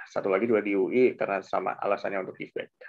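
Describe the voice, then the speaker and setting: With a quiet background behind him, a man speaks at a fairly quick pace. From Indonesia. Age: 30s. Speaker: journalist and graduate student; journalist. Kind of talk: casual interview and presentation. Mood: relaxed, reflective. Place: home room. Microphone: headset.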